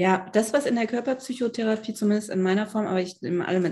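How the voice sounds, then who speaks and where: The voice sounds somewhat breathy and has ordinary pitch variation. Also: woman. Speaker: psychiatrist and body psychotherapist. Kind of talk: interview conversation.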